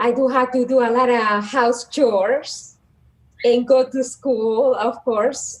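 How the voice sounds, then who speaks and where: Speaking with a Dominican accent, a woman uses a high pitch, a very slow pace and monotone, flat intonation. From Dominican Republic, south near Haiti border. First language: Spanish. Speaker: psychologist and guidance counselor. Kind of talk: casual interview.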